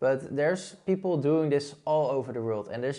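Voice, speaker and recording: With a Dutch accent, a man uses a dark, mellow tone at a fairly quick pace with ordinary pitch variation. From Netherlands. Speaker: blogging YouTuber. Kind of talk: online tutorial. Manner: casual.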